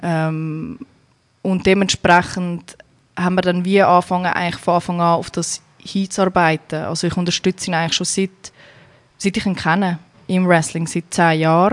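A woman speaks at a moderate pace in a Zurich accent. Her pitch is fairly low, and her intonation is monotone and flat. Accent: Zurich Swiss German. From Zurich, Switzerland. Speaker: emigrant, wrestler's wife. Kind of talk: casual interview.

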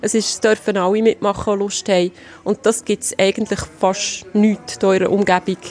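Over noticeable background noise, a woman at medium pitch speaks at a moderate pace in a monotone, flat manner. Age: 40s. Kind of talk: interview.

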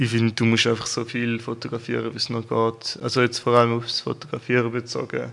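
A man's medium-pitched, monotone voice at a fairly quick pace, with hardly any pauses. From eastern Switzerland, Toggenburg. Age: 20s. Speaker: photographer and videographer. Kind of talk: interview. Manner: calm.

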